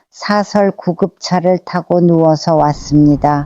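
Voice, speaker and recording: A woman's fairly low, dark and mellow voice at a very slow pace, with fairly even intonation, a dry, close sound free of echo, and a quiet background. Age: 80s+. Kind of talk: personal memoir narration.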